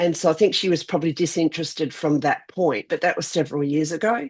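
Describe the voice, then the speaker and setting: With an Australian accent, a woman speaks at a fairly quick pace and a fairly low pitch against a quiet background. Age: 60s. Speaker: vlog co-host. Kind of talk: casual chat.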